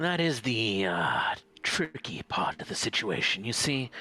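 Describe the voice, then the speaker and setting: At a fairly slow pace, a man performs a put-on character voice at a medium pitch. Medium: actual play. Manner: blunt, keeps saying "mate".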